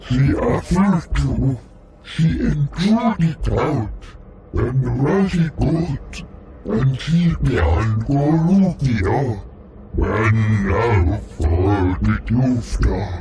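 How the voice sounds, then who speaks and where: In a growling put-on character voice, a man talks very slowly at a medium pitch, with slight echo and clear background noise. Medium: video game.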